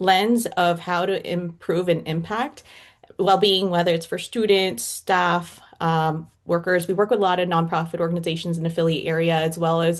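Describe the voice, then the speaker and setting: Speaking at a moderate pace with a Canadian accent, a woman uses an ordinary speaking voice, fairly low in pitch with fairly even intonation, over a quiet background. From Toronto, Canada. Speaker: organizational psychology consultant. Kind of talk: panel discussion.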